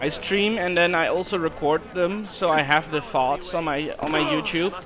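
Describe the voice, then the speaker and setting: Over noticeable background noise, a man with a Dutch accent speaks at a high pitch with fairly even intonation. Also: moderate pace. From Netherlands. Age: 20s. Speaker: gaming streamer. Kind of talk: casual chat. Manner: halting, repeats words.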